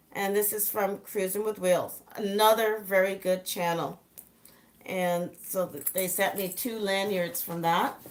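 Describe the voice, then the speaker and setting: Talking at a fairly slow pace, a woman keeps a medium pitch and fairly even intonation. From Southern Ontario, Canada (born in England). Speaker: travel vlogger. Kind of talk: casual live stream chat.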